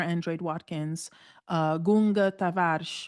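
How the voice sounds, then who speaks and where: A woman speaks with an American accent in an ordinary speaking voice. Her pitch is fairly low, her intonation fairly even, and the background quiet. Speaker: professor and conference founder. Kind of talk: podcast interview.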